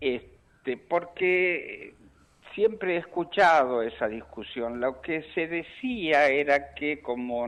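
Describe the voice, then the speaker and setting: The pace is very slow as a man talks. His pitch rises and falls over a very wide range. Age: 70s. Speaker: LGBT rights activist. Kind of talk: radio interview. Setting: phone call.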